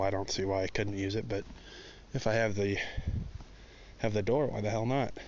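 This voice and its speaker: In a room with audible echo, a man speaks at a moderate pace in a fairly low voice. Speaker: car hobbyist vlogger. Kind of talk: casual walkaround vlog. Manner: loud; rambling, filler-heavy.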